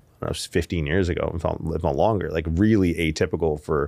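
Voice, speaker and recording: A man's very deep, low voice with vocal fry and ordinary pitch variation against a quiet background. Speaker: podcast guest, strength coach. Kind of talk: interview answer. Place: studio. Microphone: studio mic.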